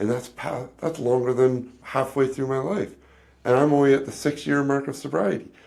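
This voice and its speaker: This man has an unremarkable speaking voice, medium in pitch with ordinary pitch variation, and he speaks at a moderate pace. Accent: Canadian. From Canada. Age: 40s. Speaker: podcast host. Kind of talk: casual chat.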